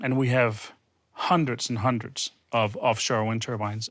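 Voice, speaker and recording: A man with a Danish accent talks at a moderate pace, his medium-pitched voice keeping a fairly even intonation. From Denmark. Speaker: wind energy consultant. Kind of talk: panel discussion.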